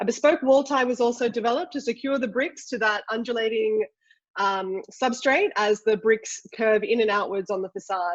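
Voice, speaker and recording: A woman with an Australian accent speaks at a moderate pace, her fairly high pitch showing ordinary variation. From Australia, Sydney. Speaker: ceramic engineer, industry executive. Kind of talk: webinar presentation. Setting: online webinar.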